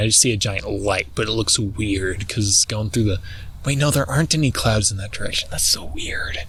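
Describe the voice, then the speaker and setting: Over noticeable background noise, a man speaks at a fairly quick pace in a fairly low pitch. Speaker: vlogger. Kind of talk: casual monologue. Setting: outdoors. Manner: halting; talks weirdly.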